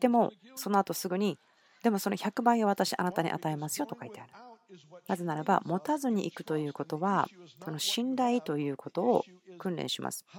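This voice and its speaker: A woman with an ordinary speaking voice talks at a fairly quick pace and medium pitch, her intonation lively and her loudness swinging widely, in a dry, close sound with no echo. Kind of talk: sermon, translated Japanese voice-over of a church message. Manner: earnest, conversational, personal and persuasive; steady, teaching pace with long run-on sentences.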